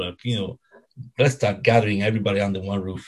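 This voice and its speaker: A man speaks at a fairly low pitch with a somewhat breathy sound. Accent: Italian. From Italy, Rome (Ostia area). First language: Italian. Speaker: football fan club founder. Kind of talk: casual interview. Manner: halting, many fillers and repetitions.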